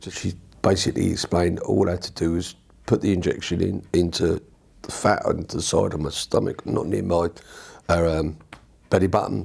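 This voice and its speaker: This man's voice is very deep and low. He keeps a moderate pace broken by long, frequent pauses. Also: fairly even intonation. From southern England, Watford. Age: 60s. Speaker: patient, army veteran. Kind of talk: testimony. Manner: halting.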